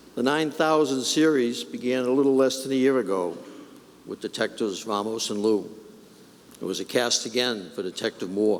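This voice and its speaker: A man with an ordinary speaking voice talks at a moderate pace in a medium pitch, with ordinary pitch variation. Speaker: police commissioner giving a eulogy. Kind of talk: eulogy at a funeral service. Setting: church, addressing a large crowd. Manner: formal, solemn.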